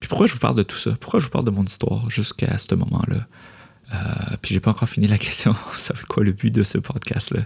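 A man with a Quebec accent talks at a fairly quick pace with vocal fry and ordinary pitch variation. The sound is dry and close, with no echo. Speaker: podcast host, creative entrepreneur. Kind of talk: solo podcast monologue. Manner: hesitant with frequent fillers.

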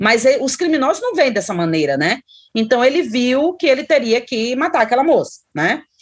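Very wide pitch swings mark this woman's speech. Her pitch is high. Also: moderate pace. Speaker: psychologist and professor. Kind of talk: interview.

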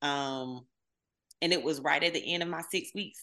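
A woman with a Southern US accent, animated in tone and fairly quick in pace. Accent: Southern US (Georgia). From US South, southwest Georgia. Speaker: social media marketer and messaging coach. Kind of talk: casual interview.

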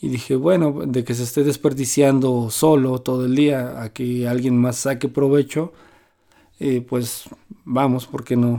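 A man talks at a fairly slow pace with medium pitch. His tone is dark and mellow, his intonation fairly even. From Mexico City. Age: 40s. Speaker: bicycle mechanic and cycling traveler. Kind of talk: interview testimony.

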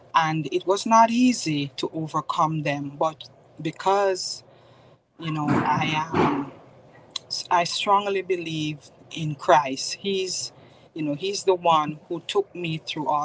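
With a Jamaican accent, a woman talks at a very slow pace in a fairly low pitch with ordinary pitch variation, against noticeable background noise. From Jamaica, Spanish Town. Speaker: author and mentor. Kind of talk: testimony.

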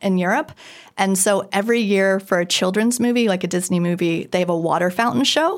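A woman with a plain, everyday voice speaks at a medium pitch, with ordinary pitch variation and very even loudness. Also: fairly quick pace. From US, moved around (Minnesota, Kansas, Idaho, Virginia). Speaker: designer and Paris tour guide. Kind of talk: casual interview.

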